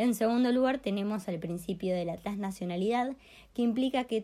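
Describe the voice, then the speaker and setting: A woman with a dark, mellow tone speaks at a fairly quick pace with lively intonation in a very clean recording with a silent background. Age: 20s. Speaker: law student. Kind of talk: lecture.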